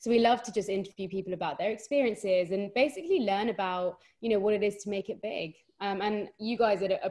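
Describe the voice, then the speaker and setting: A woman with a strong London accent, medium in pitch, dark and mellow in tone, at a fairly quick pace with ordinary pitch variation. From London, England. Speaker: podcast co-host, guest. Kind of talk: casual podcast chat.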